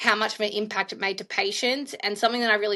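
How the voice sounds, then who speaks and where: A woman with an Australian accent speaks in a bright, sharp tone. Her intonation is monotone and flat, over a quiet background. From Australia, Melbourne. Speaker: infection prevention leader, nurse. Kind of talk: interview.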